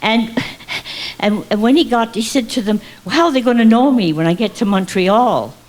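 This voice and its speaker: The voice has lively intonation at a moderate pace, with noticeable background noise. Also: woman. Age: 80s+. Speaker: stand-up comic. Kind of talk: stand-up comedy routine.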